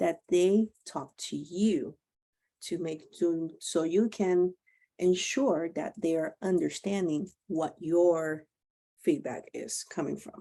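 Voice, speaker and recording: At a very slow pace, a woman speaks in a fairly low pitch with a dark, mellow tone. Her loudness swings widely. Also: ordinary pitch variation. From Puerto Rico. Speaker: webinar host and program coordinator trainer. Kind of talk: online training presentation.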